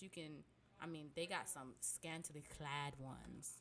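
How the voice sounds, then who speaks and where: A woman speaks with a very deep, low pitch. Her tone is animated. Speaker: VTuber and variety streamer. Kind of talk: tutorial. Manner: fast.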